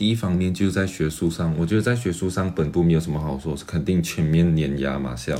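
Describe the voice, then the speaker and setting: Noticeable background noise runs under this man's voice. His pitch is very deep and low, with ordinary pitch variation. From Malaysia. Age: 20s. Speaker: graduate student and entrepreneur. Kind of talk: interview.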